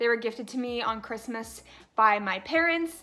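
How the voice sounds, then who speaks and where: With a bright, sharp tone, a woman speaks at a fairly quick pace. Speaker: pet YouTuber. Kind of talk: casual vlog talk. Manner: stutters at times.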